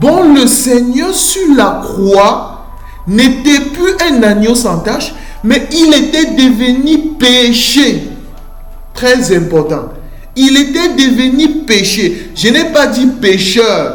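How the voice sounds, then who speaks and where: Music sounds in the background. The delivery is very slow. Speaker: preacher. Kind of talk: sermon. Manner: slow, deliberate.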